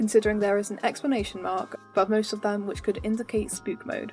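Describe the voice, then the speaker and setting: Music runs underneath as the speaker moves along at a fairly quick pace. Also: woman. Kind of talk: video game analysis commentary.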